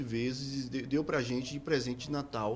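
This man has a plain, everyday voice at a medium pitch. He keeps a moderate pace. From Bahia, Brazil (Salvador). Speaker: musician. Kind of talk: casual interview chat.

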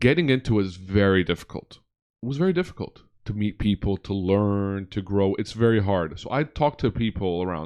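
Speaking at a moderate pace, a man with a fairly low pitch uses lively intonation in an unremarkable speaking voice. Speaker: podcast host. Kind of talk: casual interview chat. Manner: casual, chatty.

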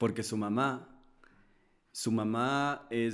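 A normal speaking voice with ordinary pitch variation, on a very clean recording over a silent background. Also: man. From Ecuador. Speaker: singer-songwriter. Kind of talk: casual chat. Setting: studio.

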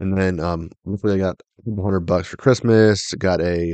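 A man's very deep, low voice shows ordinary pitch variation in a dry, close sound with no echo. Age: 20s. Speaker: podcast host. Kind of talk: casual chat. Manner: hesitant, many fillers.

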